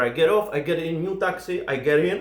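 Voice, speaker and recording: In an Eastern European accent, a man speaks in an animated tone at a high pitch for a man. Audible room echo surrounds his voice. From Czech Republic. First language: Czech. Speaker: comedian. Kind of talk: stand-up storytelling.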